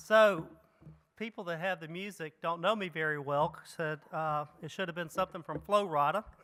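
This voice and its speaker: A man with a Mississippi accent speaks at a moderate pace and a high pitch. His tone is bright and sharp, and his intonation fairly even. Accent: Mississippi Southern. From Mississippi, US South. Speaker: economic development executive, keynote speaker. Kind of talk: keynote speech. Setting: conference stage with audience.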